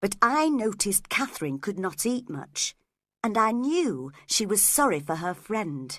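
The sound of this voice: Quiet background behind an unforced reading voice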